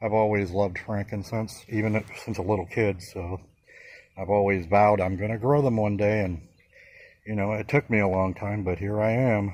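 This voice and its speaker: A man with a normal speaking voice talks at a moderate pace, his pitch fairly low and his intonation fairly even. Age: 60s. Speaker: plant grower. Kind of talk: casual video tour. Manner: casual, many fillers.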